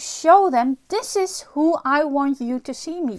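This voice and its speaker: Her voice sits high for a woman. The intonation moves in a lively way. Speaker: spiritual teacher. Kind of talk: spiritual talk to camera. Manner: reflective, rhetorical questions.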